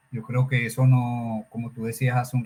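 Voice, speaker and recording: Somewhat breathy, a man speaks at a medium pitch. He keeps a fairly slow pace. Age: 60s. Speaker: personal development speaker. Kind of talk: interview conversation.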